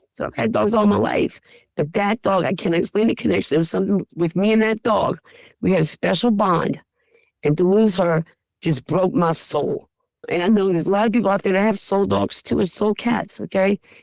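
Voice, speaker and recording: A woman talks at a fairly quick pace with vocal fry and ordinary pitch variation. Her loudness stays very even, and the sound is dry and close with no echo. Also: medium pitch for a woman. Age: 60s. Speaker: pet food store owner. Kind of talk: interview. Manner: emotional, conversational.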